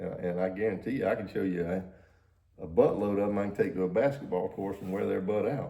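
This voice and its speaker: Audible room echo surrounds a man speaking at a very fast pace. His fairly low voice has a dark, mellow tone and ordinary pitch variation. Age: 60s. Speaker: podcast co-host. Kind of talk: casual chat. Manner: animated.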